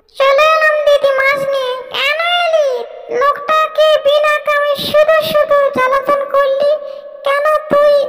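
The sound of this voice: A cartoonish character voice speaks at a fairly slow pace with monotone, flat intonation. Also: female-sounding voice, extremely high pitch for a woman.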